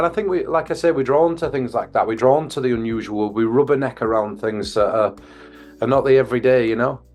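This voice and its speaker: Delivered at a very fast pace, this voice carries a Yorkshire accent and ordinary pitch variation. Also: man. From northern England, Bradford, West Yorkshire. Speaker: mentalist consultant. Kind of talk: interview.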